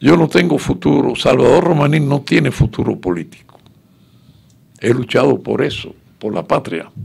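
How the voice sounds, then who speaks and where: A man speaks at a moderate pace in a fairly high voice, with very wide pitch swings and vocal fry. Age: 90s. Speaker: exile political activist. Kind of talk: radio interview.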